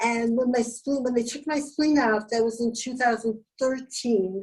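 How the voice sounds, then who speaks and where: At a moderate pace, a woman with a high pitch speaks with fairly even intonation. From Canada. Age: 70s. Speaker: Wilson's disease patient. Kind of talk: interview answer.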